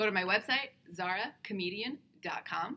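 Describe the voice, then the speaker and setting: Bright and sharp in tone, a woman with an American accent speaks at a medium pitch with ordinary pitch variation. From US (Iranian American family). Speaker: comedian. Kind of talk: casual chat. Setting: conference venue.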